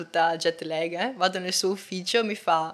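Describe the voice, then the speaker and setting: A woman talks here. Her voice is pitched fairly low. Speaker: film student. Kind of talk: interview. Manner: halting.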